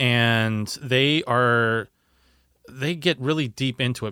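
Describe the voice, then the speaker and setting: A man's normal speaking voice at medium pitch with ordinary pitch variation, dry and close with no echo, in a very clean recording with a silent background. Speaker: radio host. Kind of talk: radio DJ patter, polished scripted show intro. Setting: radio studio. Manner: smooth, upbeat, brisk, broadcast-clear.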